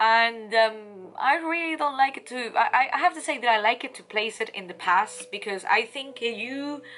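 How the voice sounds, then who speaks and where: A woman with a high pitch and a bright, sharp tone speaks with lively intonation and big swings in loudness. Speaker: tarot reader and life coach. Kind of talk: tarot reading monologue. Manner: fast.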